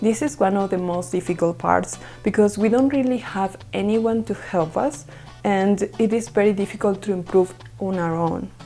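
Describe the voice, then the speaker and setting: A woman with a non-native accent, medium pitch and lively intonation at a moderate pace, with music in the background. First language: Spanish. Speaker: English learner sharing test tips. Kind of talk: educational talk to camera.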